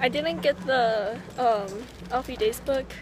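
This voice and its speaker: With faint music in the background, a woman talks with ordinary pitch variation in a dry sound with no echo. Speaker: vlogger. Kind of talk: casual vlog chat. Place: shop. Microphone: phone near.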